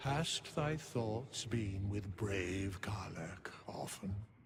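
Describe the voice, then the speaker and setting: A solemn, put-on character voice from a man, fairly low in pitch and very slow, over clear background noise. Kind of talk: archaic formal speech. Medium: video game. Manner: solemn, measured.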